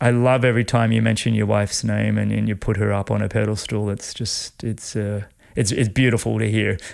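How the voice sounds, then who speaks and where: Against a silent background in a very clean recording, a man's words come at a fairly quick speed. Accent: Australian. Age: 50s. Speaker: podcast host, former triathlete. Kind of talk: interview conversation. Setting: home studio.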